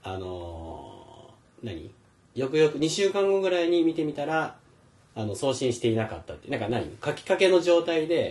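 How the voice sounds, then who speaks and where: A fairly high-pitched male voice at a moderate pace, its pitch swinging very widely and its loudness rising and falling a lot. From Philippines (Manila), half Filipino. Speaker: podcast host. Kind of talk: casual chat.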